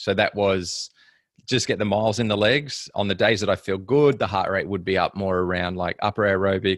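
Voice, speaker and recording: A man's fairly low voice with an Australian accent, at a fairly quick pace with fairly even intonation, dry and close with no echo on a very clean recording with a silent background. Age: 30s. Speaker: professional triathlete. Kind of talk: casual interview chat.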